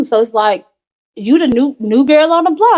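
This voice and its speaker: Her tone animated and her pitch high, a woman speaks at a fairly quick pace. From Memphis, Tennessee (Hickory Hill, South Memphis). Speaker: podcast guest. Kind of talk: casual interview conversation. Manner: animated storytelling.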